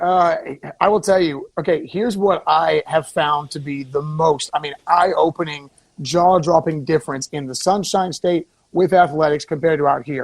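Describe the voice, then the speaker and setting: An unremarkable speaking voice from a man with an American accent, fairly high pitch, fairly even intonation and moderate pace. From Florida. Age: 30s. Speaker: former local TV news reporter. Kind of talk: casual radio talk show chat.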